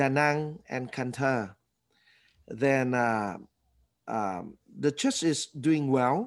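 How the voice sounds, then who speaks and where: A man with a Vietnamese accent at a very slow pace, with ordinary pitch variation and a quiet background. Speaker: former actor and church leader. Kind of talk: interview.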